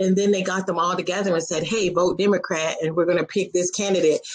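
A woman talks at a very fast pace against a quiet background. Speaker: show guest or host. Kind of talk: animated conversational commentary. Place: home room. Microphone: video call.

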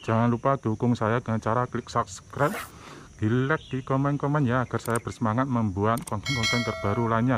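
The man's voice sits at medium pitch with ordinary variation and a fairly quick pace. Noticeable background noise runs underneath. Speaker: travel vlogger. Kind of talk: vlog walkthrough. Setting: outdoors. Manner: casual, enthusiastic.

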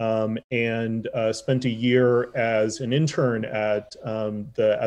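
Here a man talks at a medium pitch. His intonation is monotone and flat. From Chicago south suburbs. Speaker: public health doctor. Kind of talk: interview. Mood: warm, grateful. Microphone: webcam.

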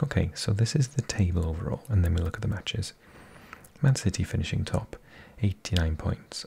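A man whispers at a moderate pace. His voice is soft-spoken and somewhat breathy. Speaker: ASMR football commentator. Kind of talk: ASMR season review. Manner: whispering, soft-spoken.

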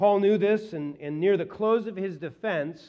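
A man's voice, dark and mellow in tone, comes through over a quiet background. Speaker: pastor. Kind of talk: sermon. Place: church. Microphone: headset.

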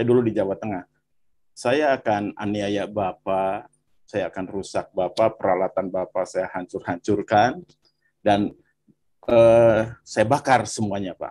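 Slow-paced at a fairly slow rate, a man speaks with a fairly low pitch and ordinary pitch variation. His tone is dark and mellow. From West Java, Bandung. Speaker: viewer sharing testimony. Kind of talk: testimony. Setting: video call.

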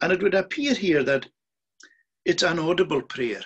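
A man speaks at a high pitch against a quiet background. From Scotland. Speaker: minister, preacher. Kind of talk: sermon, recorded on Zoom. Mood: calm, earnest. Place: home room. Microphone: video call.

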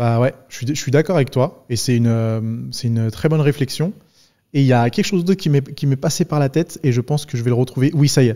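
A man with a medium-pitched, dark, mellow voice speaks over a quiet background. He moves at a fairly quick pace with ordinary pitch variation. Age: 30s. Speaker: podcast host and fitness YouTuber; podcast host, fitness YouTuber. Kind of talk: casual interview conversation. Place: studio. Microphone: studio mic.

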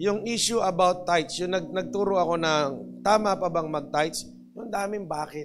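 Noticeable background noise sits under speech that has ordinary pitch variation and a moderate pace. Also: man, high pitch for a man. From Philippines. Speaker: pastor. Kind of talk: sermon. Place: church. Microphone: handheld.

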